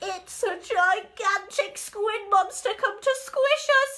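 A squeaky, put-on character voice speaks fairly slowly with lively intonation. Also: woman, extremely high pitch for a woman. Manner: squeaky, frightened.

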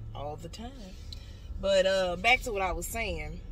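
A woman speaks with ordinary pitch variation, and some room echo can be heard.

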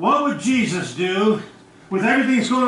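A man is talking with audible room echo. There is light background noise. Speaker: pastor. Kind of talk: sermon. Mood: earnest, sometimes indignant. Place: church.

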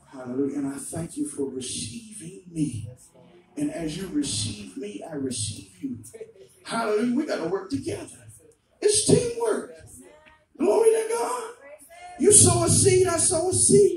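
A man's animated, fairly slow speech with long, frequent pauses, light background noise and audible room echo. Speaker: preacher. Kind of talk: revival sermon with testimony. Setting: church. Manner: animated, exhortatory, call-and-response, punctuated by hallelujahs. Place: church.

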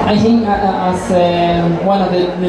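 A man speaks amid strong room echo. Noticeable background noise is present too. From Argentina. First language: Spanish. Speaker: chef. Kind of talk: Q&A interview on stage. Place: hall.

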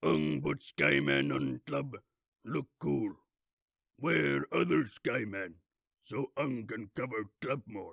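This man puts on a character voice with a fairly low pitch and very wide pitch swings. He talks at a very slow pace, with long, frequent pauses. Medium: dub.

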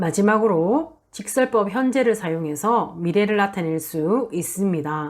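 A woman with an ordinary speaking voice talks at a medium pitch and a fairly slow pace, using lively intonation and hardly any pauses. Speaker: Spanish language teacher. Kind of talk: lecture. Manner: formal.

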